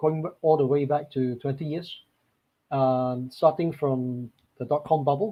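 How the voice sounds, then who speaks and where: A man with a fairly high, somewhat breathy voice speaks at a fairly slow pace. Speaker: market strategist. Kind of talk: webinar presentation. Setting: online webinar.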